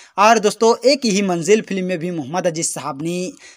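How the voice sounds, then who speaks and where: The recording is very clean with a silent background, carrying a man's high-pitched voice. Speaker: YouTube music channel host. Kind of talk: casual video narration.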